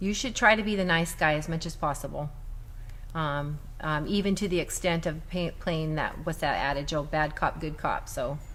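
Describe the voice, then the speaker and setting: Audible room echo surrounds a woman speaking at a moderate pace with ordinary pitch variation. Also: fairly low pitch for a woman. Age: 60s. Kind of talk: casual panel discussion. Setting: Facebook Live broadcast.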